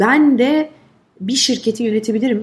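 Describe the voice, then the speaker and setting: A woman with an ordinary speaking voice talks at a moderate pace. Her pitch is fairly high and her intonation lively. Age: 40s. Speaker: advertising agency head. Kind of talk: interview conversation.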